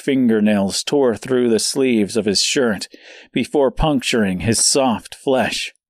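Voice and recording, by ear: Ordinary pitch movement in a natural voice reading aloud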